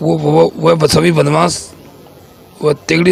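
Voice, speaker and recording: Noticeable background noise sits behind the man's voice. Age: 60s. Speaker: complainant interviewed by news reporter. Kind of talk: news interview testimony. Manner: halting, repeating words.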